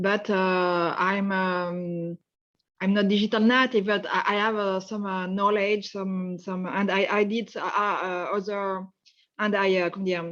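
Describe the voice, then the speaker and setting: A woman speaks in a French accent with monotone, flat intonation. Her pace is fairly slow, and the background is quiet. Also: medium pitch for a woman. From France. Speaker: webinar participant, engineer. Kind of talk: casual self-introduction. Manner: halting.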